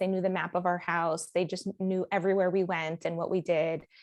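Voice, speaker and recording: An unremarkable speaking voice from a woman with an American accent, medium in pitch, at a fairly quick pace over a quiet background. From Miami, US. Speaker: life coach and author. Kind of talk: podcast interview.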